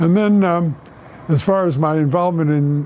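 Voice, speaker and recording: A man with an American accent talks at a fairly quick pace with ordinary pitch variation over noticeable background noise. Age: 90s. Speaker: war veteran. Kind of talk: oral history interview. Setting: office. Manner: halting.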